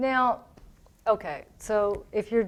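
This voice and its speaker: A woman speaks with a Southern accent. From Tennessee. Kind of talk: radio interview.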